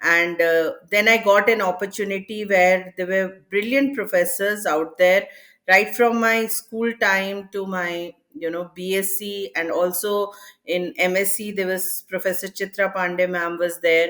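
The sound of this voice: Using a medium pitch and a fairly bright tone, a woman speaks at a fairly slow pace with fairly even intonation.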